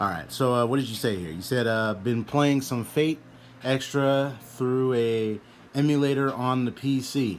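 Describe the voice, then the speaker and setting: At a moderate pace, a man speaks with a medium pitch. His pitch variation is ordinary. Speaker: gaming streamer. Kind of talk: casual chat. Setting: live stream.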